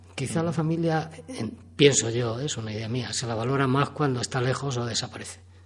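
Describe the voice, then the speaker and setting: Using a plain, everyday voice, a man talks at a fairly quick pace with a medium pitch and ordinary pitch variation. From Spain, not from Guadalajara. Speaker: amateur writer and guide. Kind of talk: radio interview.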